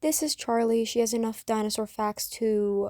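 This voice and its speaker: A woman speaks at a moderate pace in a dark, mellow tone. The sound is dry and close with no echo, in a very clean recording with a silent background. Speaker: YouTuber presenting original characters. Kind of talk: casual narration over slideshow. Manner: casual, filler-heavy.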